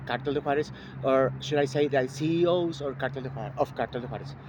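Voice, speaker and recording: There is noticeable background noise as a man with a Mexican accent speaks at a fairly high pitch. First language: Spanish. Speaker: vlogger. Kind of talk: personal statement to camera. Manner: halting, many fillers.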